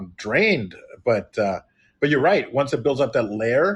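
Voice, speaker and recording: The man's voice is somewhat breathy, with lively intonation. He talks at a fairly slow pace. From Chicago. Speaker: podcast host and actor. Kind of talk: casual chat. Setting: live online broadcast.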